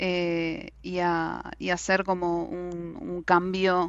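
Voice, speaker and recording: This woman's voice sits at a fairly low pitch. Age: 20s. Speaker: astrology enthusiast. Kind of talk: casual chat.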